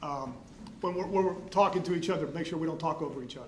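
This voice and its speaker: Amid noticeable background noise and audible room echo, a man with a high pitch talks very fast in fairly even intonation. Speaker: prosecutor. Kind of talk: courtroom cross-examination. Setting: courtroom.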